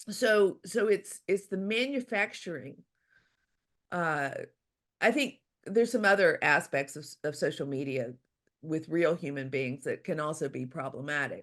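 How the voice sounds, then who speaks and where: With an American accent, a woman speaks at a fairly low pitch, her voice swinging very widely. She goes at a fairly slow pace with long, frequent pauses against a quiet background. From US South, Louisiana. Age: 60s. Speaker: author. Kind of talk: interview. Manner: halting.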